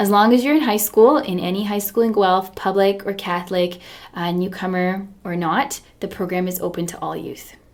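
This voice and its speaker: A woman with a Canadian accent, medium in pitch and moderate in pace, with ordinary pitch variation, big swings in loudness and noticeable background noise. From Canada (Ontario), arrived from Serbia at seven. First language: Serbian. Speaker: community worker. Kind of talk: radio interview.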